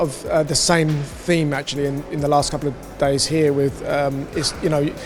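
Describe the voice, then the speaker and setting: Noticeable background noise sits behind a man with a fairly high voice. He keeps a moderate pace and a flat, monotone delivery. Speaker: finance executive at a blockchain conference. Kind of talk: interview. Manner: hesitant, many fillers.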